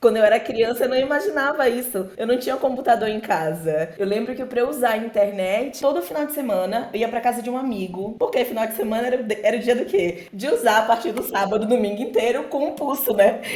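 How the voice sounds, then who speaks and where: The pace is very fast, with hardly any pauses. Noticeable background noise sits behind the voice. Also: woman, fairly high pitch for a woman, ordinary pitch variation. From Brazil, interior of Bahia (Alagoinhas). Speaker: software developer and podcaster. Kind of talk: casual podcast chat.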